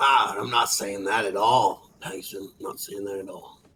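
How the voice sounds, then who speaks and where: Raspy, put-on character voice from a man at medium pitch and moderate pace. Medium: machinima. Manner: blunt, gruff.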